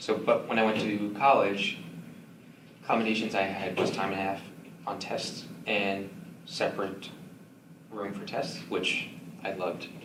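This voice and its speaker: There are long, frequent pauses as a man talks. Noticeable background noise can be heard. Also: moderate pace. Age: 20s. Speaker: selective mutism speaker sharing lived experience. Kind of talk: support group talk and Q&A. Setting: meeting room, live audience.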